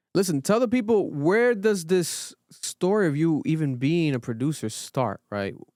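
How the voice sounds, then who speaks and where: An energetic, high-pitched man with an American accent and very wide pitch swings, in a very clean, dry, close recording with a silent background and no echo. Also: moderate pace. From Rhode Island, US. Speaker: podcast host. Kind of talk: podcast interview. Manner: casual, energetic.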